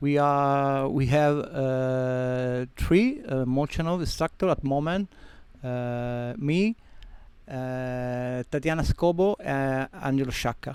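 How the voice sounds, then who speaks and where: A man with a Sicilian accent speaks at a very slow pace. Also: fairly high pitch for a man, ordinary pitch variation. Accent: Italian (Sicilian). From Sicily, Italy (Catania). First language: Italian. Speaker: freediving instructor and centre owner. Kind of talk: interview. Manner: halting.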